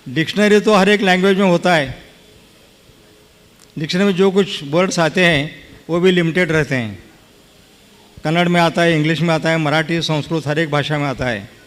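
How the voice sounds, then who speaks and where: This man speaks in a Kannada accent at a high pitch. He keeps a moderate pace with ordinary pitch variation and long, frequent pauses. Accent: Kannada-accented Hindi. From Karnataka, India. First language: Kannada (speaking Hindi). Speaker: lawyer and politician, honored guest. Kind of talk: speech to religious gathering. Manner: halting.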